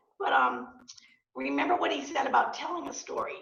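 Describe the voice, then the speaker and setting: Audible room echo follows a woman who speaks at a fairly quick pace. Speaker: real estate agent and entrepreneur. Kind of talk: guest talk to student club. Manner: hesitant, many fillers.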